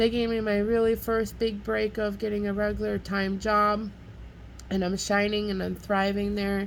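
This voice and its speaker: Speaking at a moderate pace, a woman keeps a monotone, flat intonation. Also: medium pitch for a woman. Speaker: vlogger and restaurant worker. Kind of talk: casual monologue vlog. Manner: loud.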